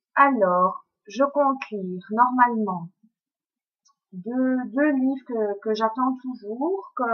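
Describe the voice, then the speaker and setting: Speaking very slowly with ordinary pitch variation, a woman talks in a Belgian accent. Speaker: book blogger. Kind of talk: book review vlog. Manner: hesitant, many fillers.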